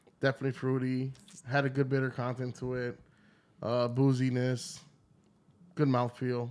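A man talks at a moderate pace and medium pitch, his intonation monotone and flat, broken by long, frequent pauses. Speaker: podcast co-host. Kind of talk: casual chat.

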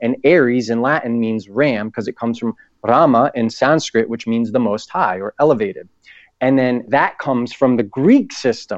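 Against a quiet background, a man with an American accent uses an ordinary speaking voice at medium pitch and a moderate pace. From New England (Boston and Providence). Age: 30s. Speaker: author and actor. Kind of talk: casual interview. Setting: phone call.

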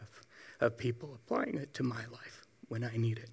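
A man's medium-pitched, somewhat breathy voice at a fairly quick pace. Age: 40s. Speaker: church member giving testimony. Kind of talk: testimony.

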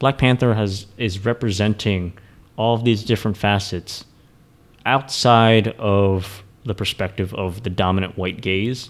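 This man has an ordinary speaking voice, fairly low in pitch, with fairly even intonation. He talks at a moderate pace. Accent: American. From US, Philadelphia area, Vietnamese family. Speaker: kung fu teacher. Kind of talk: casual chat.

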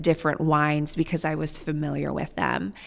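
A woman speaks at a moderate pace with a Midwestern US accent. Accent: US Midwest. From Nebraska, Columbus. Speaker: winery owner. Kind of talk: interview.

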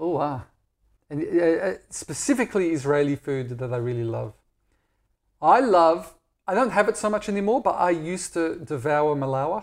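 With an Australian accent, a man speaks at a moderate pace with lively intonation. The recording is very clean, with a silent background. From Australia, Perth. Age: 40s. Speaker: blogger and Israel advocate. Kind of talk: casual interview. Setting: at home.

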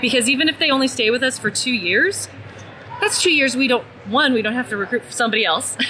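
With noticeable background noise behind her, a woman with an American accent talks very fast in a high pitch with lively intonation. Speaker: talent acquisition strategist. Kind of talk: interview. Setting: conference.

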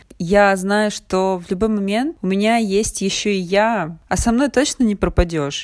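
On a very clean recording with a silent background, a woman with a plain, everyday voice speaks at a fairly slow pace, medium in pitch, with ordinary pitch variation and hardly any pauses. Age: 30s. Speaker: podcast host. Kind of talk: personal monologue.

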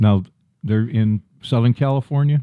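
This man's medium-pitched voice has a dark, mellow tone and ordinary pitch variation, moving at a moderate pace in a dry, close recording with no echo. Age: 70s. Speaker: podcast co-host, dad. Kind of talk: casual chat.

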